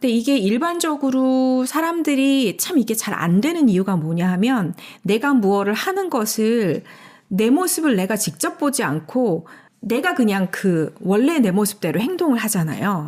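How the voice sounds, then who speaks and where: A woman with a fairly high pitch talks fairly slowly, her voice making very wide pitch swings. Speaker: enneagram study co-host. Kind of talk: casual discussion. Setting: recording studio. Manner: loud.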